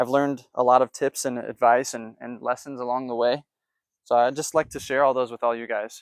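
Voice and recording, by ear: Over a dry, close sound with no echo, a man talks at a moderate pace. His medium pitch holds fairly even intonation.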